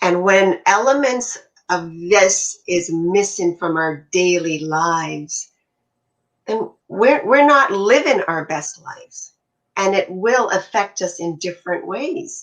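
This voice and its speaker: At a very slow pace, a woman speaks at medium pitch with lively intonation. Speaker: health and wellness coach. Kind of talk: casual chat. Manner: animated.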